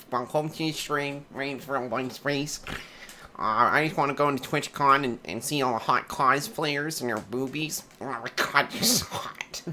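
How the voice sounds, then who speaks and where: A man puts on a character voice at a fairly high pitch, talking at a moderate pace over clear background noise. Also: ordinary pitch variation. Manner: overeager, gushing.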